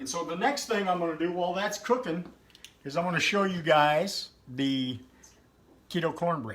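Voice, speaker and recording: A loud, high-pitched man with lively intonation at a moderate pace, long, frequent pauses, and noticeable background noise. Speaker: home cooking video creator. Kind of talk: casual cooking livestream.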